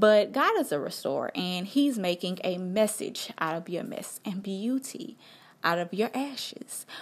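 A woman with a medium-pitched, somewhat breathy voice speaks with lively intonation. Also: fairly slow pace. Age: 20s. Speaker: podcast host. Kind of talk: casual monologue.

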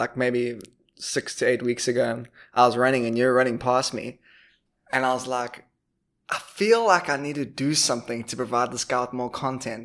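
With a South African accent, a man speaks at a medium pitch and a moderate pace. His intonation stays monotone and flat. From Durban, South Africa. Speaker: podcast host. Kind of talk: casual interview chat.

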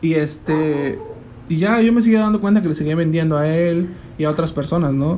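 A man speaks at a moderate pace with ordinary pitch variation. Room echo is audible. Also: fairly high pitch for a man. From Mexico, Chiapas. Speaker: guest recounting life abroad. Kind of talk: casual chat.

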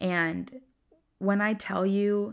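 A woman with a Southern US accent speaks in an animated tone at medium pitch, in a very clean recording with a silent background. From US South, Greenville, South Carolina. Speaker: podcast host. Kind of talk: faith-based solo monologue.

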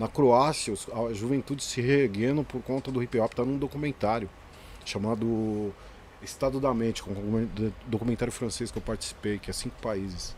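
His pace is moderate and his intonation fairly even. This man's voice sits at a medium pitch. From Greater São Paulo, Brazil. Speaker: graffiti artist and educator. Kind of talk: casual interview chat. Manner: soft-spoken.

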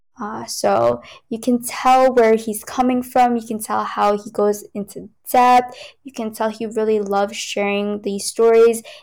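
On a very clean recording with a silent background, a woman with a fairly high pitch speaks at a fairly slow pace in a monotone, flat intonation, with big swings in loudness. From New York. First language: Cantonese. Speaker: tech company worker and K-pop fan. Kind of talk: casual chat. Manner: laughs often.

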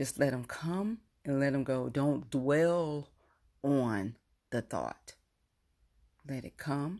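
A woman with a very deep, low pitch and a dark, mellow, calm, soothing tone speaks at a very slow pace, her lively intonation broken by long, frequent pauses. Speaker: podcast host. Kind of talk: guided meditation. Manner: slow, calm, soothing, coaching breath by breath.

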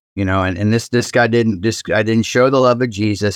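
In a plain, everyday voice, a man with an American accent talks at a fairly quick pace and medium pitch, his intonation fairly even against a quiet background. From Ohio, Cincinnati. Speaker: pastor. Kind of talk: casual chat.

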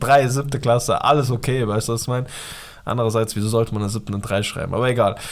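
A man with an animated tone, very fast delivery and ordinary pitch variation. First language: Pashto (speaking German). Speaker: podcast co-host. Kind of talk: casual chat.

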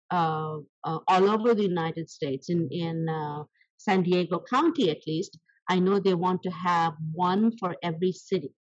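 A woman with an Indian accent speaks at a fairly low pitch. Her pace is moderate and her pitch variation ordinary. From South India. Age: 70s. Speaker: small business owner. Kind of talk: interview. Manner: animated.

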